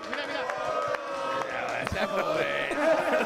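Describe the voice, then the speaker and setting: Crowd noise can be heard behind the speaker. He is a man. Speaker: sports journalist guest. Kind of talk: TV presenter hype. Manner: excited. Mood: jovial, laughing. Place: cafe. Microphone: handheld.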